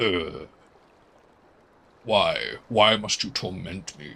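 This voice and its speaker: Using a put-on character voice, a man speaks at a very slow pace. His pitch is fairly low, with ordinary pitch variation. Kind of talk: theatrical voice acting. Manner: put-on, dramatic, complaining.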